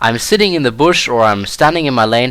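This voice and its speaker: With a German accent, a man talks at a fairly quick pace in a medium pitch with lively intonation. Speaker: gaming video creator. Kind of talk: gameplay commentary tutorial. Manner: casual with frequent fillers.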